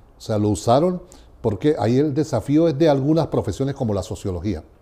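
With lively intonation and a somewhat breathy quality, the speaker moves at a fairly quick pace through big swings in loudness. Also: man. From Venezuela. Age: 60s. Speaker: education researcher. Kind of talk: interview. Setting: university venue. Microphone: lapel.

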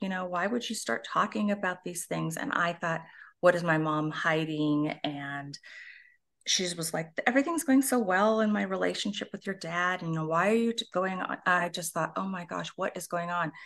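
A woman speaks at a fairly low pitch and a moderate pace. Her pitch varies in an ordinary way, against a quiet background. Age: 60s. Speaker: author and abuse survivor advocate. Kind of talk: personal testimony. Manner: halting.

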